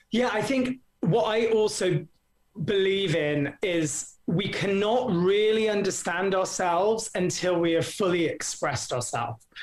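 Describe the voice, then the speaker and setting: The speaker has an English Midlands accent. The pace is fairly slow. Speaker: acting coach. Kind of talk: casual interview. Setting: video call from abroad.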